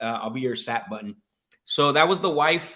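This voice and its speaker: A bright, sharp, energetic male voice of medium pitch, with a Spanish accent, at a fairly quick pace. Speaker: sales coach and livestream host. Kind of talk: live-streamed sales call session with chat commentary.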